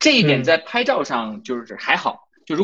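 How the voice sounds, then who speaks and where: A man's fairly high voice with a bright, sharp tone, very wide pitch swings and a fairly quick pace. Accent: slight Northeastern Chinese. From Inner Mongolia, near Northeast China. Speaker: photography blogger. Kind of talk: live-stream conversation.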